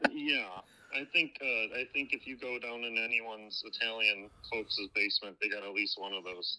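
A man with a Wisconsin accent at a moderate pace. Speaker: caller. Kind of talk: casual chat. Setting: phone call.

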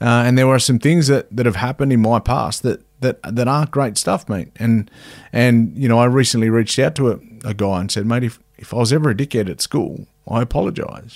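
This man has an Australian accent, a medium pitch and ordinary pitch variation. He speaks at a fairly quick pace on a very clean recording with a silent background. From Cowra, New South Wales, Australia. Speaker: former rugby league player and boxer, mental health advocate. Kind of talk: casual interview conversation.

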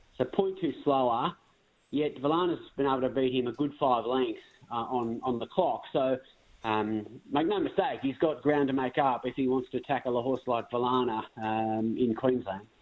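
With an Australian accent, this man speaks at a moderate pace. His pitch is medium with ordinary pitch variation. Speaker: racing analyst.

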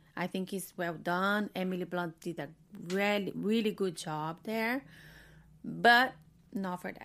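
On a very clean recording with a silent background, a woman with a Portuguese accent speaks fairly slowly at medium pitch with ordinary pitch variation, leaving long, frequent pauses. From Brazil. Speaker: film critic. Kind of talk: casual chat. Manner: halting.

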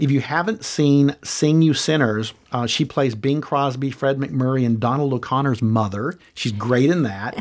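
In a plain, everyday voice, a man speaks at a medium pitch with ordinary pitch variation and a fairly slow pace, with hardly any pauses. The background is quiet. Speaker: podcast co-host. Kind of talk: casual chat about old films.

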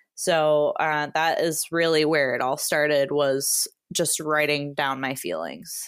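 A woman with an American accent and a very deep, low pitch speaks at a very slow pace with hardly any pauses. Her intonation is fairly even, and the recording is very clean with a silent background. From Wisconsin. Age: 30s. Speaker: hiker and content creator. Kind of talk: casual interview.

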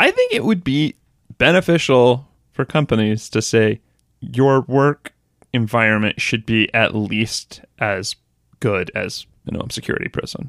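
A man speaks at a fairly slow pace with a normal speaking voice, medium pitch and ordinary pitch variation. The sound is dry and close, with no echo. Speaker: podcast host. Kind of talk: casual chat.

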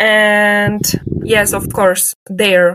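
A woman with a Polish accent speaks at a very slow pace, recorded with a dry, close sound and no echo. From Poland, Leszno. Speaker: linguistics graduate researcher. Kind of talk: interview.

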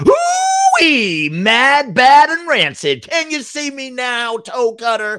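Putting on a cackling character voice, a man shouts at an extremely high pitch with very wide pitch swings, going at a very slow pace with hardly any pauses. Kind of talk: mock sports commentary. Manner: manic, taunting, showboating.

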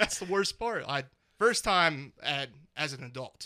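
A man's bright, sharp tone with lively intonation on a very clean recording against a silent background. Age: 30s. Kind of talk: casual chat.

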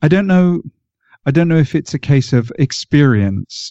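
A man speaks with ordinary pitch variation. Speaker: podcast host and football pundit. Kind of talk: casual chat.

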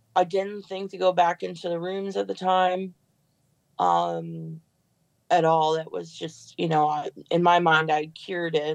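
A woman with an American accent speaks at a fairly slow pace, her pitch fairly low and its variation ordinary. It is an unremarkable speaking voice against a quiet background. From Chicago suburbs, US Midwest. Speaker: person in addiction recovery. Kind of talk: personal testimony.

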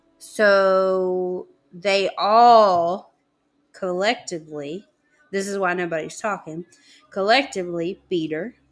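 A woman's medium-pitched voice with a Southern US accent and ordinary pitch variation. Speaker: podcast co-host. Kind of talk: casual chat.

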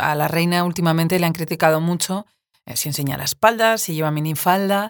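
A woman speaks at a fairly quick pace in a normal speaking voice, her pitch fairly low and her intonation fairly even. The recording is very clean, with a silent background. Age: 40s. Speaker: podcast host and writer. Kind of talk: interview.

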